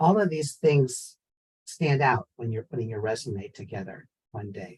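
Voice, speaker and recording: Somewhat breathy, a man with an American accent speaks at a medium pitch in a dry, close sound with no echo. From San Francisco, US. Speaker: professor. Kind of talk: panel discussion.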